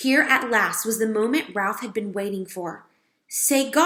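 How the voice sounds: With a quiet background, a natural reading voice shows ordinary pitch variation.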